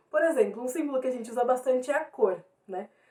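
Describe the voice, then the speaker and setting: A woman speaks with a high pitch. Her pace is very fast. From Brazil, São Paulo east zone. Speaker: teacher. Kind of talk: lecture.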